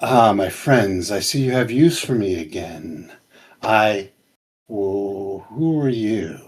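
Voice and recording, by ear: Using a put-on character voice, a man speaks very slowly at a fairly low pitch with lively intonation.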